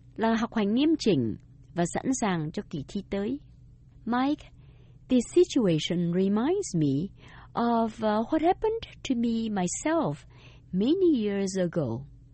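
Her voice somewhat breathy and fairly high-pitched, a woman speaks at a very slow pace with very wide pitch swings. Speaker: radio language teacher. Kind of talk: scripted bilingual lesson dialogue.

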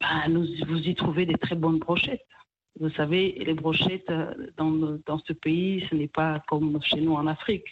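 A woman's voice, very deep and low in pitch, proceeds at a fairly slow speed. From DR Congo, Kivu. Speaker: restaurant co-owner. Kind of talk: radio interview.

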